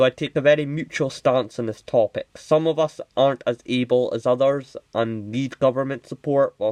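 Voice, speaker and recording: Mumbling at a moderate pace, a man keeps his intonation fairly even in a dry, close sound with no echo. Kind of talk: unscripted commentary to camera. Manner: mumbly; hesitant, many filler words.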